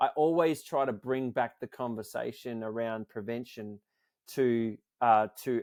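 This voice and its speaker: An Australian accent with ordinary pitch variation, in a very clean recording with a silent background and a dry, close sound with no echo. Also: man. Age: 40s. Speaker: nonprofit founder. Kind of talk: interview.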